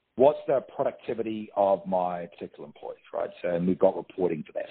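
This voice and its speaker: In a New Zealand accent, a man speaks at a moderate pace with a fairly low pitch. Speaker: staffing franchise operations manager. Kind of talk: interview answer. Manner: casual, conversational.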